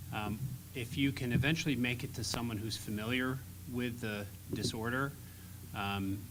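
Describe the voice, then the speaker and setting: A man talks at a moderate pace and a medium pitch. Noticeable background noise and audible room echo are present. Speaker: laryngologist panelist. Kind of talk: panel discussion. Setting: conference stage with audience. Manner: loud.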